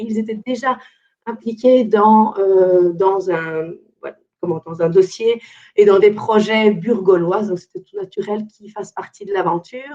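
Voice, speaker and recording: A woman with a dark, mellow tone and medium pitch, speaking fairly slowly. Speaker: environmental consultant. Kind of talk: webinar presentation.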